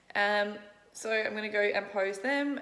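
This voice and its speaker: A woman with an Australian accent speaks at a medium pitch, with audible room echo and noticeable background noise. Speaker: fitness vlogger and bikini competitor. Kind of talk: casual vlog talk to camera. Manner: casual, chatty.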